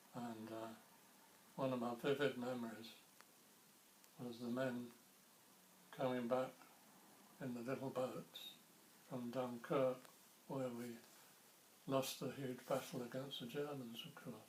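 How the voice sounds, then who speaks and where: A man speaks with a southern English accent in a monotone, flat intonation at a fairly slow pace. Long, frequent pauses break up his speech, and there is noticeable background noise. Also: medium pitch for a man. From Ramsgate, Kent, England. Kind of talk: oral history interview answer.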